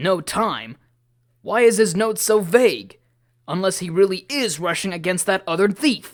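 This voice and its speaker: Using a put-on character voice, a man talks in a high pitch at a moderate pace with ordinary pitch variation. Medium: audio drama.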